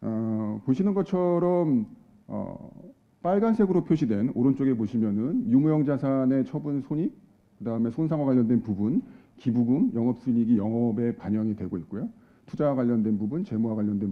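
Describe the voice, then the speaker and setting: A man speaks at a fairly quick pace and medium pitch with lively intonation. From South Korea. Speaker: accounting advisory head, seminar speaker. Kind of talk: conference presentation. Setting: conference hall with audience. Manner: formal, with frequent filler hesitations.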